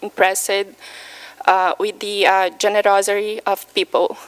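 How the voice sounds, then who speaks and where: A woman with a Brazilian Portuguese accent. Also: dry, close sound with no echo. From Brazil, Minas Gerais. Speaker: patient speaker. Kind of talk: personal testimony talk. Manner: halting, many fillers.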